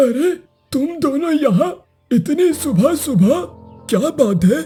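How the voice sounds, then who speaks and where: A cartoonish character voice at a very slow pace over faint music in the background. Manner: slow, grave storyteller.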